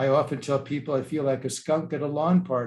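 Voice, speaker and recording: A somewhat breathy man speaks in a fairly high voice. He keeps a fairly quick pace. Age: 70s. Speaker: archbishop. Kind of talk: lecture.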